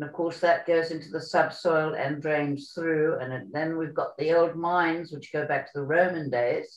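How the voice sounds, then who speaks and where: This woman has a very deep, low voice and fairly even intonation, talking at a moderate pace with hardly any pauses. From South Africa. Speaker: sailing school founder. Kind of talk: interview.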